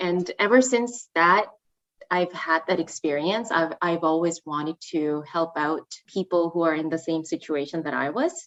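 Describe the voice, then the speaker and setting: A woman with a Korean accent speaks at a moderate pace, her fairly low pitch showing ordinary variation, in a dry, close sound with no echo. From South Korea. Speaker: student recruitment manager. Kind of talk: podcast interview. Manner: hesitant, many fillers.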